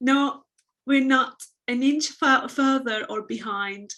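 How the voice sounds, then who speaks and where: Speaking with a Turkish accent, a woman has a bright, sharp tone. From Turkey. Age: 30s. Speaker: abuse survivor and fashion business owner. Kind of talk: testimony. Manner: halting.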